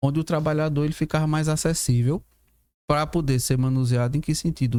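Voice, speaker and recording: A man's fairly high, dark and mellow voice with ordinary pitch variation at a fairly quick pace, on a very clean recording with a silent background. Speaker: professor. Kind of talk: podcast discussion. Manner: fast.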